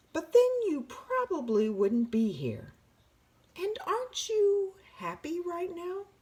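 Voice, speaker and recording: A female-sounding put-on character voice at an extremely high pitch, very wide pitch swings, a fairly slow pace and long, frequent pauses. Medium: read story. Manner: warm, gently amused.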